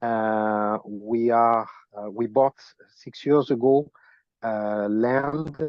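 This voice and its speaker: A man speaks with a strong French accent at a medium pitch. His intonation stays fairly even. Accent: heavy French. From France. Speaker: land project owner. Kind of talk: self-introduction on group video call. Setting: video call. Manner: halting.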